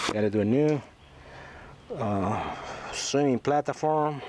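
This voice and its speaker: Noticeable background noise sits under the speech. The delivery is very slow, with ordinary pitch variation. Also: man. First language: not English. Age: 60s. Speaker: boat restorer and trucking business owner. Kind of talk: casual video walkthrough. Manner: halting, many fillers.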